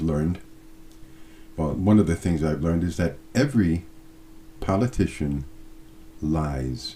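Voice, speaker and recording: This man's very deep, low voice has a dark, mellow tone, a somewhat breathy quality and ordinary pitch variation. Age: 60s. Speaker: video blogger. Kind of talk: casual monologue to camera. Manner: hesitant, with fillers.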